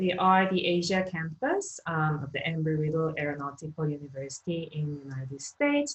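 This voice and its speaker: A woman with a Korean accent and a very deep, low pitch, fairly even intonation at a moderate pace, over noticeable background noise. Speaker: economics lecturer. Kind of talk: online lecture.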